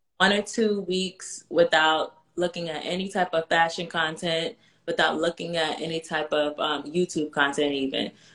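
Speaking at a moderate pace with hardly any pauses, the voice has an American accent, an ordinary speaking voice and fairly even intonation. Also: woman, fairly low pitch for a woman. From New York. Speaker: personal stylist for moms. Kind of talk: casual chat.

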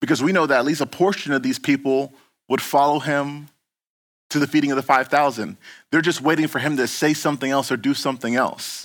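In a very clean recording with a silent background, a man talks fairly quickly at a fairly high pitch with fairly even intonation. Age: 30s. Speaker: pastor. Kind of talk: sermon. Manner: casual, halting with many fillers and repeats.

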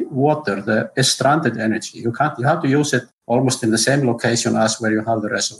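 Here a man speaks with an Icelandic accent. His pace is fairly quick. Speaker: geothermal engineer. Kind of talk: interview. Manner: halting.

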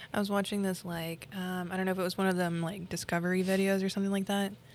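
Her medium-pitched voice stays monotone and flat as the woman speaks at a very fast pace. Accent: slight Oklahoma. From Oklahoma. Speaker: beauty business owner. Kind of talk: casual chat.

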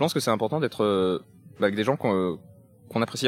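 Music can be heard behind him. The man's voice sits at a medium pitch. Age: 30s. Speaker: morality teacher interviewed in street vox pop. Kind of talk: street interview.

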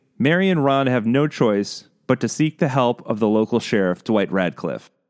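A man at medium pitch, moderate pace, lively intonation. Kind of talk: true-crime narration. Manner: measured, steady storyteller pacing with ominous, suspenseful emphasis; clear, scripted, formal documentary delivery.

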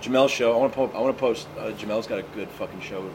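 Talking at a very fast pace with an American accent, a man is heard over noticeable background noise. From Tennessee/Kentucky border, US South. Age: 30s. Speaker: comedian. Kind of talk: casual chat. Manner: animated.

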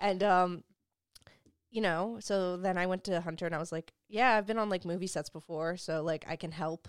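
A woman with an American accent and medium pitch has an unremarkable speaking voice, captured in a dry, close sound with no echo. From New Jersey (Hoboken). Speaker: production company founder. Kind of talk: casual interview chat. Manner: casual, slangy, fast-talking.

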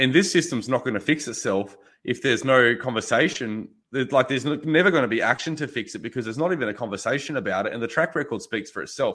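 Talking at a very fast pace with an Australian accent, a man has a medium pitch, a bright, sharp tone and ordinary pitch variation. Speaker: farmer and butcher. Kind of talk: casual interview. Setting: video call.

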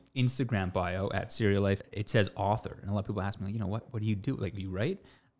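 A man speaks with a Canadian accent at a fairly low pitch. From Canada, Toronto. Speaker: social media influencer and business co-owner. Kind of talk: casual chat. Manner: repeats words often.

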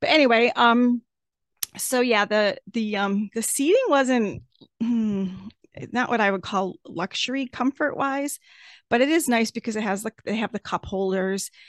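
A woman's fairly high voice at a moderate pace, dry and close with no echo, over a quiet background. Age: 50s. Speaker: podcast host. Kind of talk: casual solo podcast monologue. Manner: halting, many fillers.

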